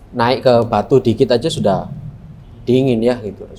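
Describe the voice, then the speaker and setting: Speaking in a Surabaya accent, a man talks at a medium pitch and a moderate pace. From Indonesia, Surabaya (East Java). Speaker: philosophy lecturer. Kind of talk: lecture. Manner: conversational, interactive with students.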